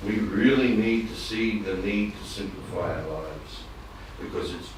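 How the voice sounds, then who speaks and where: A man is speaking with audible room echo. Noticeable background noise is also present. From Australia. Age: 60s. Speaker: devotee in audience. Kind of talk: audience comment in religious class discussion. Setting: temple. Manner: halting.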